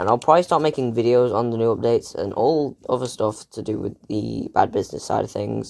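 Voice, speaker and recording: A man speaks quietly at a fairly quick pace. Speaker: gaming YouTuber. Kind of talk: casual gaming commentary.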